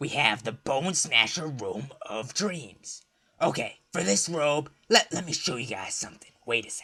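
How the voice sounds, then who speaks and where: A man puts on a raspy character voice, fairly high in pitch, at a moderate pace. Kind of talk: comic persona. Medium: solo performance. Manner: brash, joking, rambling.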